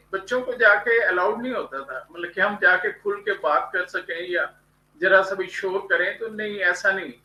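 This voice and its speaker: A man speaks in a raised, projected voice. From India. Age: 70s. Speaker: graphologist and motivational writer. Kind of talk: interview.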